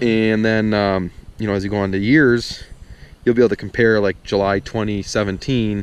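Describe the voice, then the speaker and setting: Fairly even in intonation, a man speaks in a fairly low voice with a dry sound and no echo. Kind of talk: casual vlog chat. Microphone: phone near.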